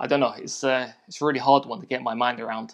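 A man at a fairly quick pace, medium in pitch with fairly even intonation, over a quiet background. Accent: London. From South London, England. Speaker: photographer. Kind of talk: interview. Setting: video call.

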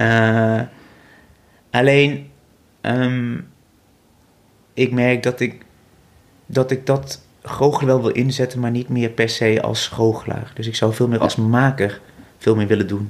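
A man talks very slowly, leaving long and frequent pauses, his medium-pitched voice keeping a fairly even intonation. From Netherlands, North Brabant (Vught). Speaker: visual artist and magician. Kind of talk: interview. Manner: halting, many fillers and repetitions.

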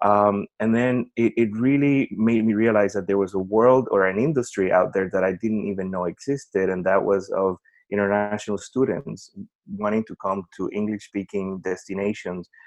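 With a Spanish accent, a man speaks at a fairly low pitch and a fairly even intonation, his sound dry and close with no echo against a quiet background. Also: moderate pace. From Puerto Rico. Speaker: education company executive. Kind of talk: interview.

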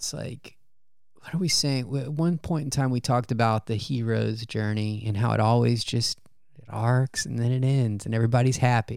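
A man's ordinary speaking voice at medium pitch, with fairly even intonation and a moderate pace, on a very clean recording against a silent background. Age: 30s. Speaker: podcast co-host and runner. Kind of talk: casual chat. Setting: at home.

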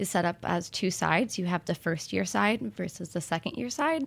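A woman speaks at a moderate pace in a fairly low pitch with vocal fry, on a very clean recording with a silent background. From rural farm background. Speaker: graduate student in marine science. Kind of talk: interview on live radio.

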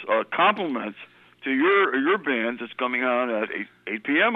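With a plain, everyday voice, a man speaks at a fairly high pitch using lively intonation. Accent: American. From New Britain, Connecticut. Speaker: caller. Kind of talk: casual chat. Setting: phone call.

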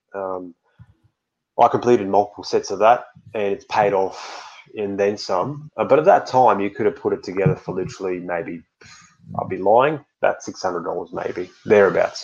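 A man speaks at a fairly low pitch with ordinary pitch variation. His pace is moderate. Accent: Australian. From Australia. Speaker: NFT collector and community moderator. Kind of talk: podcast interview.

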